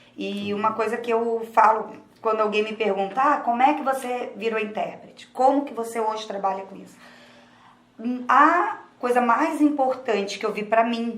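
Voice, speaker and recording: Speaking at a moderate pace in a Rio de Janeiro accent, a woman with a fairly high pitch keeps her intonation fairly even while her loudness swings widely, over noticeable background noise and audible room echo. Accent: Rio carioca. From Rio de Janeiro, Brazil. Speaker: sign language interpreter. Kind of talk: interview. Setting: studio.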